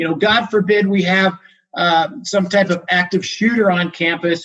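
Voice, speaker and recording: With an American accent, a man speaks in a high voice with ordinary pitch variation. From Arizona. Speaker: university public safety director. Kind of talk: training presentation. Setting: video call. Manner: fast.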